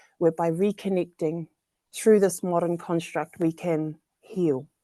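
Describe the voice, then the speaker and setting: In a New Zealand accent, a woman with a fairly low pitch and a dark, mellow tone speaks in a flat monotone, the sound dry and close with no echo. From New Zealand, central North Island. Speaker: social equity fellow. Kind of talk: panel discussion.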